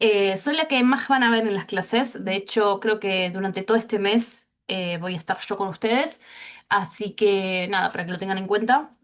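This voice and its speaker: An ordinary speaking voice from a woman, at a moderate pace and medium pitch, with ordinary pitch variation. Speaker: teacher. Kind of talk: online class.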